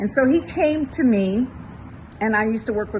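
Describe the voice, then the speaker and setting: This woman talks at a moderate pace in a somewhat breathy voice. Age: 80s+. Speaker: therapist and mindset coach. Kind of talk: motivational talk to camera. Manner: conversational, storytelling.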